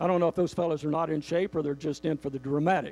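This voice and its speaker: A man talks at a fairly high pitch. The recording is very clean, with a silent background and a dry, close sound with no echo. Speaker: motivational speaker. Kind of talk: motivational speech to a live audience. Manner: humorous.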